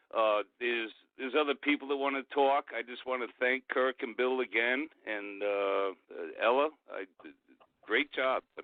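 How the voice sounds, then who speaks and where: Moderate pace and fairly even intonation from a man, medium in pitch. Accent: New England. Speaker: caller. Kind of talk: call-in radio talk. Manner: halting, many fillers.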